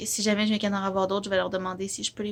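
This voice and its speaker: In a Quebec accent, a woman of medium pitch speaks at a very fast pace. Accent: Québécois French. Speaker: vlogger. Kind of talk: casual vlog chat.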